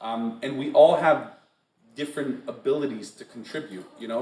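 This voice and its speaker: The speaker talks at a fairly quick pace with an American accent over noticeable background noise. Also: man. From US Northeast, western Massachusetts. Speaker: poet. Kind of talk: Q&A session. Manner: animated.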